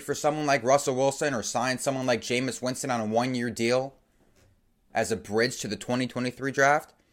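On a very clean recording with a silent background, a man talks. His tone is animated and his pace moderate. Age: 20s. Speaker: sports podcast host. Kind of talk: solo sports commentary podcast.

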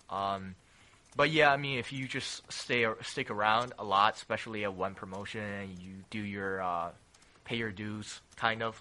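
A man with a fairly low pitch and a bright, sharp tone speaks at a moderate pace with ordinary pitch variation. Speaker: independent pro wrestler. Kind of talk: casual interview chat. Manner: hesitant, filler words.

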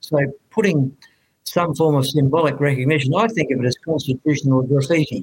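Speaking with an Australian accent, the voice is somewhat breathy with ordinary pitch variation and very even loudness. The pace is fairly quick. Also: man, fairly high pitch for a man. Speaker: author and commentator, retired army officer. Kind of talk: interview. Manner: halting, many fillers.

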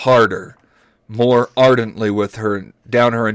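An unforced reading voice carries fairly even intonation. The background is quiet.

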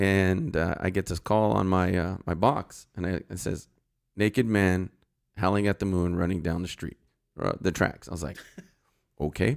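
With a Californian accent and a very deep, low pitch, a man speaks at a moderate pace with ordinary pitch variation and long, frequent pauses, in a very clean recording with a silent background. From Los Angeles, San Fernando Valley. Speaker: retired sheriff's deputy and political candidate. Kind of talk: casual interview.

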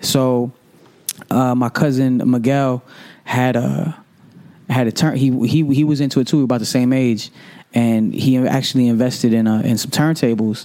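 Dark and mellow in tone, the voice carries an American accent with fairly even intonation. It moves at a moderate pace with long, frequent pauses. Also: man, medium pitch for a man. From Hartford, Connecticut, US Northeast. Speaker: radio DJ. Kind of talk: casual interview chat.

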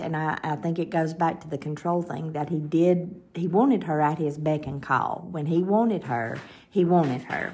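With a Southern US accent, a woman speaks at a fairly low pitch in a dark, mellow tone. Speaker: podcast host. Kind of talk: scripted-style podcast narration with casual chat.

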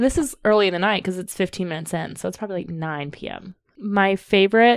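This woman uses a normal speaking voice with an American accent. She talks at a fairly quick pace and a medium pitch. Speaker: podcast co-host, amateur ghost investigator. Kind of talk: casual chat.

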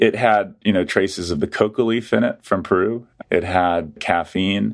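Over a very clean recording with a silent background, a man speaks in an unremarkable speaking voice at a fairly low pitch. His pace is moderate, with ordinary pitch variation. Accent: American. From US South (Atlanta, Georgia). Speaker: history professor. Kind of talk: interview.

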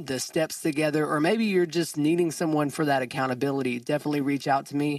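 Against a quiet background, a man speaks in an ordinary speaking voice, his pitch fairly high and his intonation fairly even. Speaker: podcast host. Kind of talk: casual interview chat.

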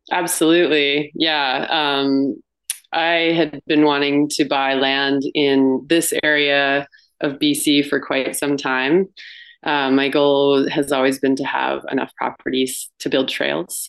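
A woman's very deep, low pitch in a western Canadian accent, monotone and flat, at a very slow pace. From Canada, British Columbia and Banff, Alberta. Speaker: retreat owner. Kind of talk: interview.

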